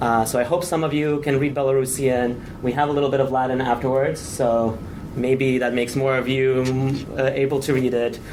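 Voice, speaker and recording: Audible room echo and noticeable background noise surround a man speaking at a fairly quick pace and medium pitch with fairly even intonation. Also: very even loudness. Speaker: conference presenter, researcher. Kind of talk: conference presentation. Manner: fast; hesitant, many fillers.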